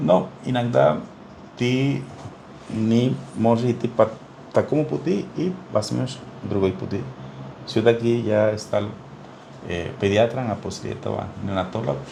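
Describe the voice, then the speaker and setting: Through noticeable background noise, a man with a Spanish accent and a medium pitch speaks very slowly with lively intonation and long, frequent pauses. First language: Spanish (speaking Russian). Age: 60s. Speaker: neonatologist. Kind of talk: interview. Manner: halting, many fillers.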